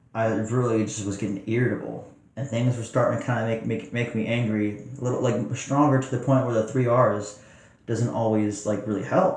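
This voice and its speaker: Noticeable background noise behind a man at medium pitch, fairly quick in pace, with fairly even intonation. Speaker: meditation teacher. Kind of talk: casual talk to camera.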